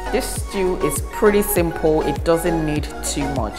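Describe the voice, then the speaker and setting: Clear music runs behind the speaker. She is a woman talking at a fairly slow pace. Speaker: cooking channel host. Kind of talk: tutorial. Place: kitchen.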